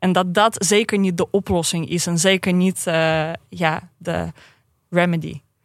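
In an ordinary speaking voice, a woman talks at a fairly slow pace with fairly low pitch and fairly even intonation on a very clean recording with a silent background. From Russia, St. Petersburg. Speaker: activist and historian. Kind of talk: podcast interview.

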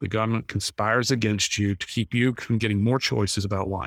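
On a very clean recording with a silent background, the speaker goes at a fairly quick pace in a monotone, flat intonation. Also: man. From North Carolina. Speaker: wine company founder. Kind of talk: interview.

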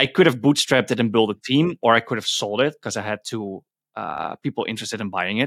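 In a very clean recording with a silent background and a dry, close sound with no echo, a man speaks at a very fast pace. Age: 20s. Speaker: indie entrepreneur. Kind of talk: casual interview.

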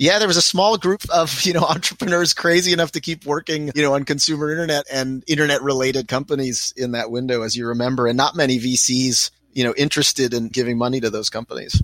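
A man with an American accent speaks at a very fast pace, with hardly any pauses. His pitch is fairly high, and the sound is dry and close with no echo. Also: ordinary pitch variation. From US, Pittsburgh, Pennsylvania. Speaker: venture capital investor. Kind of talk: interview.

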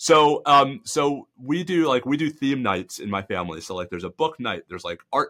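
With an American accent and a bright, sharp tone, a man speaks at a moderate pace with lively intonation on a very clean recording with a silent background. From New York. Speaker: law professor and legal analyst. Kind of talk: casual interview discussion.

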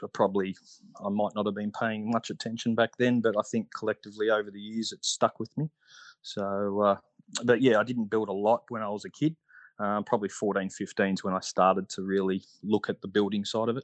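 Against a quiet background, a man with an Australian accent talks fairly quickly in a fairly low pitch, his intonation monotone and flat, the sound dry and close with no echo. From Australia, Melbourne. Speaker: scale aeromodeller, ex-military. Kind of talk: casual interview. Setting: online call.

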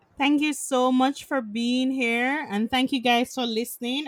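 A woman has a plain, everyday voice with ordinary pitch variation. She speaks at a moderate pace in a dry, close sound with no echo. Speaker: podcast host and doctor. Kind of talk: casual interview conversation. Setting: online recording from home.

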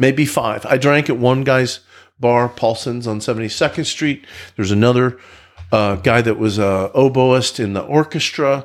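A man of medium pitch speaks at a moderate pace with ordinary pitch variation in an unremarkable speaking voice. The recording is very clean, with a silent background. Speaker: recovering alcoholic. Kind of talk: testimony.

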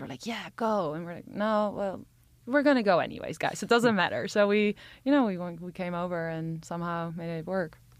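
A woman with a plain, everyday voice talks at a fairly quick pace in a medium pitch, with ordinary pitch variation and big swings in loudness, on a very clean recording with a silent background. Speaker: company co-founder. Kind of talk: interview.

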